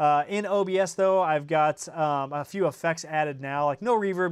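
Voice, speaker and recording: Fairly high-pitched for a man, this American-accented voice keeps a fairly even intonation. The background is quiet. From Indiana. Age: 30s. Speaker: tech YouTuber. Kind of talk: livestream chat. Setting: home studio livestream. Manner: casual, many fillers.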